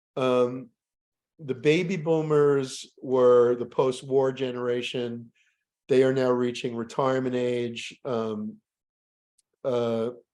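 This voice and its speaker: Long, frequent pauses break up a man's speech. He talks at a very slow pace with fairly even intonation. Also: medium pitch for a man. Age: 60s. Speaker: professor. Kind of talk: lecture. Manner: halting, many fillers.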